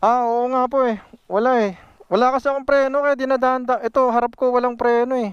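This man talks at a fairly quick pace in an extremely high pitch, his intonation monotone and flat. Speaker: motorcycle vlogger. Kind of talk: vlog commentary after accident. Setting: outdoors on roadside. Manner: agitated, swearing in shock.

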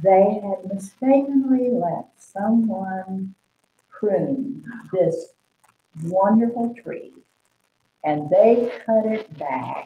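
A woman with an American accent at a very slow pace, somewhat breathy, with lively intonation and long, frequent pauses. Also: medium pitch for a woman. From Oklahoma. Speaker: artist. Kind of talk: interview.

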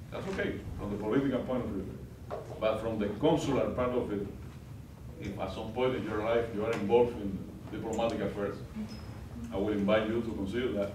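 A man with a fairly low pitch talks at a fairly quick pace. The room echo is audible, and there is noticeable background noise. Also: fairly even intonation. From Cuba. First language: Spanish. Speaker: diplomat. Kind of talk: guest lecture. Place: classroom. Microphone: camera far.

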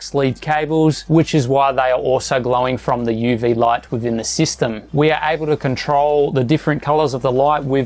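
A man talks at a fairly quick pace with fairly even intonation and hardly any pauses. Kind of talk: setup tour commentary. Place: home room.

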